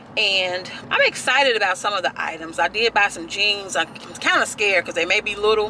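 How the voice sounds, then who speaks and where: A woman speaks with a Memphis accent. Her pace is moderate. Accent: US Southern (Memphis area). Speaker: lifestyle blogger and vlogger. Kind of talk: casual vlog talk to camera. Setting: in a car. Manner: chatty, conversational.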